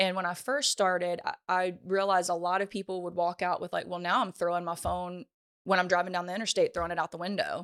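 Speaking very fast with a Louisiana accent, a woman at medium pitch comes through a very clean, dry, close recording with a silent background and no echo. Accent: Southern US (Louisiana). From US South, Louisiana (Ponchatoula). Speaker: social media educator. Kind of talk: casual interview. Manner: animated.

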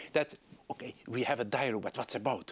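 A man speaks with a Hungarian accent at a fairly quick pace. The sound is dry and close, with no echo. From Hungary. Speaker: politician. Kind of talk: interview. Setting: studio.

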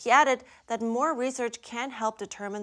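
In an unremarkable speaking voice, a woman speaks at a moderate pace with ordinary pitch variation. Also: very clean recording, silent background. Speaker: news anchor. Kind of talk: news reading. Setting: studio.

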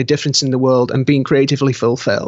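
A man speaks with a British accent. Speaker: author and graphic artist. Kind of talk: interview. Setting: video call. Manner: halting.

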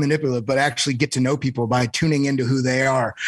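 This man has an ordinary speaking voice at medium pitch, with fairly even intonation. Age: 30s. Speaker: crypto trader. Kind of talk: casual chat.

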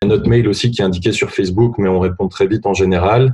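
A man's somewhat breathy voice at a fairly low pitch, with a dark, mellow tone and fairly even intonation. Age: 20s. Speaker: association co-founder. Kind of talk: interview. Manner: hesitant, with fillers.

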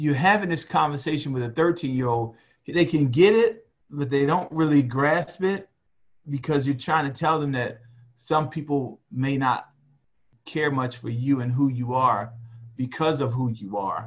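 At a fairly slow pace, a man talks in a somewhat breathy, fairly high voice with ordinary pitch variation. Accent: American. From US, West Baltimore, Maryland. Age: 50s. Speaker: retired military officer and father. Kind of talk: casual interview.

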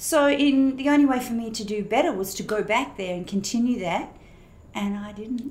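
Amid audible room echo, a woman speaks at a moderate pace with an Australian accent. Her pitch is fairly high, with ordinary variation. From Australia, Perth. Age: 60s. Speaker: pastor. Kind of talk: testimony.

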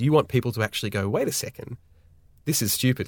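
A man's very fast speech in an Australian accent, with ordinary pitch variation, in a very clean recording with a silent background. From Australia, Sydney. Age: 30s. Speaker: video director and production company owner. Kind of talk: podcast interview.

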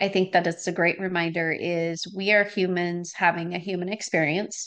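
With an American accent, a woman talks at a moderate pace in an unremarkable speaking voice of medium pitch. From Wisconsin, US Midwest. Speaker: podcast host. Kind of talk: casual interview chat.

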